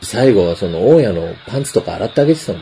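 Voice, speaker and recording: A man's very fast speech against noticeable background noise. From Japan. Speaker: podcast host. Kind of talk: casual chat. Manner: speaking quietly.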